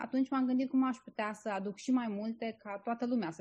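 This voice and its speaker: Speech comes at a fairly quick pace. There's a somewhat breathy sound to it. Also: woman. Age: 30s. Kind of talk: interview. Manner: hesitant, many filler sounds.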